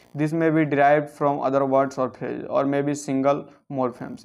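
The speaker talks at a fairly quick pace with an Indian accent. The background is quiet. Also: man. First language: Hindi. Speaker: English grammar teacher. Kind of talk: lecture. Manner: reading aloud. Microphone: phone near.

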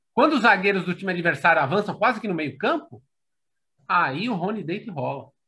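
A man projects a raised voice at a high pitch and a fairly quick pace, with lively intonation and a bright, sharp tone. The background is quiet. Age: 40s. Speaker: football fan commentator. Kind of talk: casual chat. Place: home room. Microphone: video call.

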